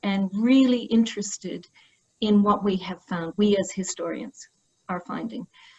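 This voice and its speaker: A somewhat breathy woman with an Australian accent, medium pitch and ordinary pitch variation. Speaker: historian. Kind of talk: panel discussion.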